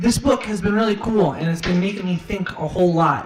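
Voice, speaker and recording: A man talks against noticeable background noise. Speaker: streamer and musician. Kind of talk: casual live stream monologue. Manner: fast.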